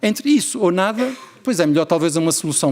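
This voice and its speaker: A man with an Azorean accent at a fairly quick pace. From Azores, Portugal. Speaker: family doctor and researcher. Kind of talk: conference keynote.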